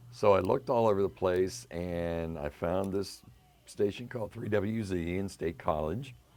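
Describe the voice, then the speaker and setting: With music in the background, a man with an American accent speaks at a very deep, low pitch with lively intonation. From western Pennsylvania. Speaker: radio DJ. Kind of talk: interview.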